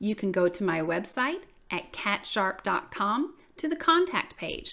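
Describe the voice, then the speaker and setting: A fairly high-pitched woman with a Southern US accent, warm and upbeat in tone, with very wide pitch swings, in a very clean recording with a silent background. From US South. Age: 40s. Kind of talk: casual solo podcast intro. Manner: warm, friendly, upbeat.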